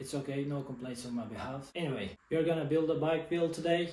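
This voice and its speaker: A man with a Turkish accent speaks at a fairly high pitch with fairly even intonation. Audible room echo and noticeable background noise surround him. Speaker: bike mechanic hobbyist YouTuber. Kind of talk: tutorial. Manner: halting.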